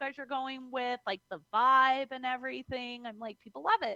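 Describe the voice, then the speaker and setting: In a raised, projected voice, a woman speaks at a high pitch with ordinary pitch variation, in a dry, close sound with no echo. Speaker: professional wrestler. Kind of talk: interview.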